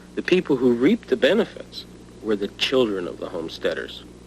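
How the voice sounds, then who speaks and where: Over noticeable background noise, a man with a Canadian accent talks at a moderate pace in a medium pitch with lively intonation. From Netherlands, raised in Canada from age five. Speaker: history teacher. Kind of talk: documentary interview.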